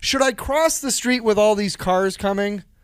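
This man's voice has a high pitch and lively intonation. He talks at a moderate pace. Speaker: podcast host. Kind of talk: casual chat, joking. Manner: joking, interrupts often.

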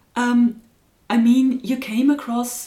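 With a German accent, a woman speaks at a very slow pace and fairly high pitch against noticeable background noise. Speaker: podcast host. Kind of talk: interview.

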